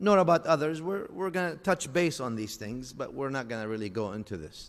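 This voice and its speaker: Speaking with an Arabic accent, a man uses a fairly high pitch, a fairly quick pace and very wide pitch swings. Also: big swings in loudness. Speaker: Islamic scholar. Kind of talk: religious lecture.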